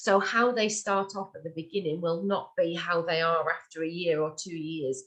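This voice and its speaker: With a northern English accent, a woman talks at a moderate pace. Her pitch is fairly low and varies in an ordinary way. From northern England. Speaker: webinar presenter. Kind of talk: tutorial. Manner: hesitant, many fillers.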